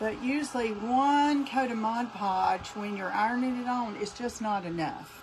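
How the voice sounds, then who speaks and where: In a North Carolina accent, a woman speaks at a moderate pace with ordinary pitch variation, amid noticeable background noise and audible room echo. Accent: North Carolina Southern. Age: 60s. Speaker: craft tutorial host. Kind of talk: live craft tutorial. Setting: Facebook and YouTube livestream. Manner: casual, chatty.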